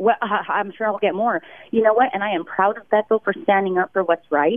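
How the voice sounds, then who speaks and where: In a normal speaking voice, a woman talks at a medium pitch with ordinary pitch variation. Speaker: teacher. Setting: phone call.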